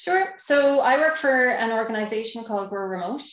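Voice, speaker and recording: A woman in an Irish accent, with ordinary pitch variation, over noticeable background noise. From Ireland. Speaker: nonprofit employer lead, former tech manager. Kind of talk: podcast interview. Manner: hesitant, many fillers.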